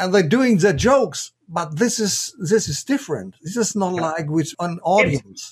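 A high-pitched man with a German accent speaks at a fairly slow pace with lively intonation. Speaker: podcast host, professional speaker. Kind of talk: interview. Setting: video call.

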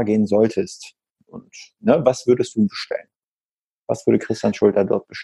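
The speaker is a man. His voice has a dark, mellow tone. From northern German coast. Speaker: podcast host. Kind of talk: casual interview.

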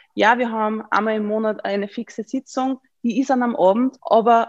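A fairly high-pitched woman in an Upper Austrian accent, moderate in pace with fairly even intonation, in a dry, close sound with no echo. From Upper Austria (Mühlviertel). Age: 20s. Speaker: member of parliament. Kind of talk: interview. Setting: video call.

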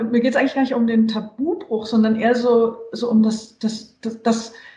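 An ordinary speaking voice from a woman, fairly high in pitch, at a moderate pace and with fairly even intonation. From western Germany (Hesse, Saarland). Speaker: journalist and author. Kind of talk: casual interview. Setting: video call.

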